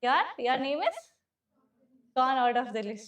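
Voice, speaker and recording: Loud and high-pitched, a woman speaks with an Indian accent. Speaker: civil service exam teacher. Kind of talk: classroom lecture. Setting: classroom with students.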